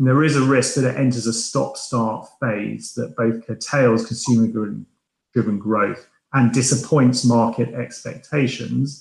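Vocal fry runs through this man's medium-pitched voice. His pace is fairly slow and his intonation fairly even. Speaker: asset allocator. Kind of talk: panel discussion.

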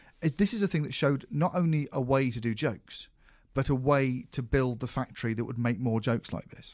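With a British accent, a man of medium pitch speaks at a fairly quick pace. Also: ordinary pitch variation, very clean recording, silent background. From UK. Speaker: podcast host, comedy writer. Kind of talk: casual chat.

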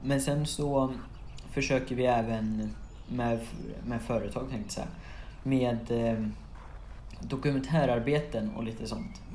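Audible room echo surrounds a man speaking at a fairly slow pace with long, frequent pauses. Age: young. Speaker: podcast host. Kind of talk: casual Q&A monologue. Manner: halting, many fillers.

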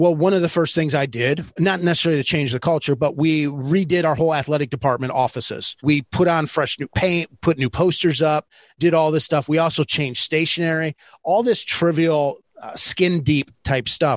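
A man's ordinary speaking voice with an American accent, fairly high in pitch, at a moderate pace, in a dry, close sound with no echo and a quiet background. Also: ordinary pitch variation. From Michigan. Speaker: leadership consultant and former basketball coach. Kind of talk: interview.

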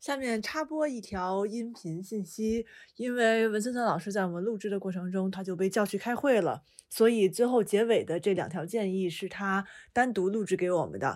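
A woman speaks in a plain, everyday voice at a medium pitch with ordinary pitch variation. Her pace is moderate and the recording is very clean, with a silent background. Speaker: podcast host. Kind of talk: casual chat.

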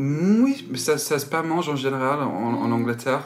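A man talks at a very slow pace with an English accent. His intonation is lively. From England, Malvern. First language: English (speaking French). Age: 20s. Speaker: music journalist. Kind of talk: interview. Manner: halting.

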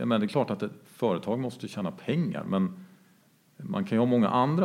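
A man talks with very wide pitch swings. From Jämtland, Sweden. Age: 40s. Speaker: entrepreneur. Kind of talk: interview.

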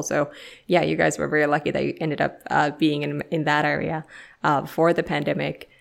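A woman with a Finnish accent at a fairly quick pace, on a very clean recording with a silent background. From Finland. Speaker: podcast host. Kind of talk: interview.

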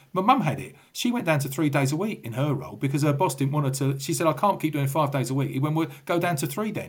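Somewhat breathy and fairly high-pitched, a man with a London accent talks at a very fast pace with lively intonation. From England, southwest London. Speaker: retired police officer. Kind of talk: casual interview.

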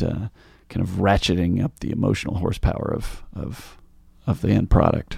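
On a very clean recording with a silent background, a man with a fairly low pitch speaks with vocal fry. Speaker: singer-songwriter. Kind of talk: casual chat.

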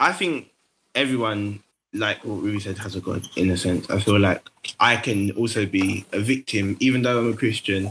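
A man with a London accent, fairly low pitch, fairly even intonation and a moderate pace. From London, Tower Hamlets. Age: 20s. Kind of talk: casual chat.

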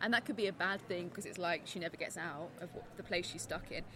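Here is a woman with a medium pitch. Her intonation is lively. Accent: southern English. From southeast England. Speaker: literature professor. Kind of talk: casual chat. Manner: halting.

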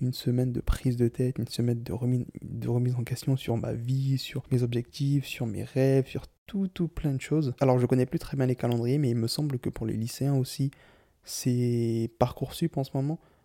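In a dry, close sound with no echo, a man speaks at a fairly quick pace with a medium pitch and fairly even intonation. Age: 20s. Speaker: solo podcaster. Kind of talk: personal monologue.

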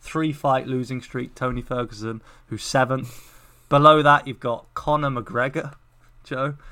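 With an English accent, a man talks at a fairly slow pace in a bright, sharp tone with fairly even intonation, on a very clean recording with a silent background. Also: medium pitch for a man. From England. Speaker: MMA podcast co-host. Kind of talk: casual chat.

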